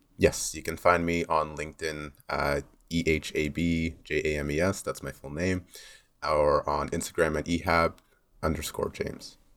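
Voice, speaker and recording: Listeners hear a man with a Canadian accent. He talks at a moderate pace. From Canada, Mississauga. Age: 20s. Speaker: university student, campus council candidate. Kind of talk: interview.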